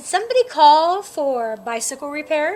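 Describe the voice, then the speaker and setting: A woman's put-on character voice, high-pitched with a warm, cheerful tone, at a moderate pace. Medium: read story.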